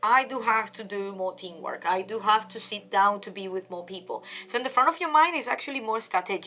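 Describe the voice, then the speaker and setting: Against noticeable background noise, a woman talks fairly quickly at a fairly high pitch. Her intonation is lively and her loudness swings widely. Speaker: tarot reader and life coach. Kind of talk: tarot reading monologue. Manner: fast.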